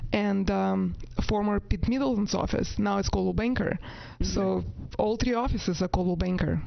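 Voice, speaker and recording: A woman with a non-native accent speaks at a moderate pace. Her loudness stays very even, and the room adds audible echo. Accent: foreign. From Latvia. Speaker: real estate agent. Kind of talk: interview.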